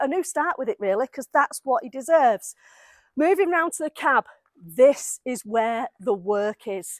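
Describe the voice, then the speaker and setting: On a very clean recording with a silent background and a dry, close sound with no echo, a woman speaks at a high pitch and a fairly slow pace with very wide pitch swings. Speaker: mechanic and classic car restorer. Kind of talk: workshop vlog walkthrough. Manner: animated.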